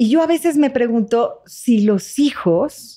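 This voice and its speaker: A woman with lively intonation against a quiet background. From Mexico. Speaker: psychotherapist; guest. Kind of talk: interview conversation. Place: studio. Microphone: studio mic.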